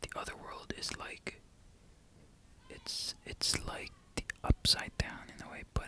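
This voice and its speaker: Over noticeable background noise, a man whispers at a fairly slow pace. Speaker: ASMR creator. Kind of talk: ASMR show and tell talk. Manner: soft-spoken.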